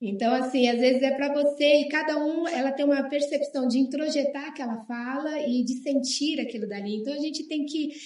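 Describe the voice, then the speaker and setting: A woman's high-pitched voice at a moderate pace, with fairly even intonation and hardly any pauses. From Brazil, Bahia, moved around often. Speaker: guest sharing life story. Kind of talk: testimony in TV talk show.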